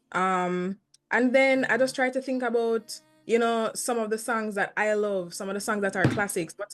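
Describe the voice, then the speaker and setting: A woman is speaking with ordinary pitch variation. Music plays in the background. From Jamaica, St. Ann. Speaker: reggae singer. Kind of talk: interview. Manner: fast; articulate.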